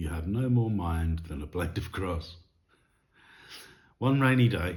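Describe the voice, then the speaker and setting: A man's very deep, low voice, somewhat breathy, at a moderate pace with ordinary pitch variation. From England. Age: 60s. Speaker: hairdresser. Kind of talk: story reading.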